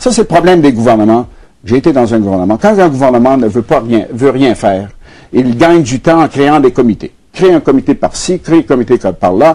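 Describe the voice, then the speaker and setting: A man talks at a fairly quick pace in a medium pitch, his intonation lively. The tone is dark and mellow, and his loudness stays very even. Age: 70s. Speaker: former politician and economist. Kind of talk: TV interview. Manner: halting, with frequent fillers and repetitions.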